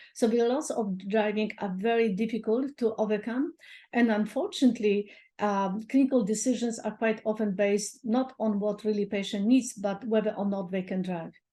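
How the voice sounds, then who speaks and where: Over a quiet background, a woman with a dark, mellow, somewhat breathy tone speaks at a moderate pace, fairly high in pitch with fairly even intonation. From Poland. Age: 60s. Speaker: doctor. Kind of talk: interview.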